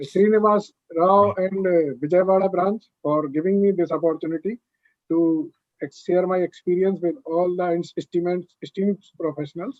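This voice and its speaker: Fairly even intonation marks this man's high-pitched speech. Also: moderate pace. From North India. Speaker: chartered accountant and author, lecturer. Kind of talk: lecture.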